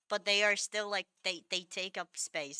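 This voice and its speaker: A woman's bright, sharp voice with a Finnish accent at a fairly slow pace, dry and close with no echo. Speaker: vtuber streamer. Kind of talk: live-stream gameplay chat. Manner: casual, filler-heavy.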